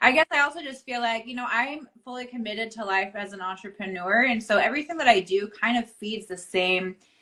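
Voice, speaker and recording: A woman speaks fast, with hardly any pauses, in an ordinary speaking voice. Her pitch sits fairly high with ordinary variation, and her loudness swings widely. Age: 30s. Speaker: author and entrepreneur. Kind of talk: casual interview chat. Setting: Instagram live video.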